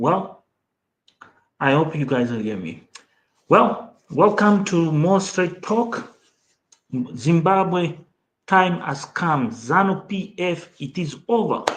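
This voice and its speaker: A man with a Mozambican accent speaks at a very slow pace with long, frequent pauses. His high pitch carries lively intonation. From Mozambique. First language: Portuguese. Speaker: political commentator, channel host. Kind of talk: livestream commentary.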